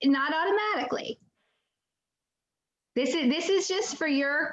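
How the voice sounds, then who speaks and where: A woman is talking here. She uses lively intonation. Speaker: real estate trainer. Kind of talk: online training class. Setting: video call with screen share.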